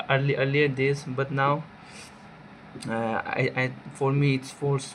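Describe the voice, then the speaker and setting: Against noticeable background noise, a man speaks at medium pitch with monotone, flat intonation. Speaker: person who stammers doing a course task. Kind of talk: self-reflection monologue. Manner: halting.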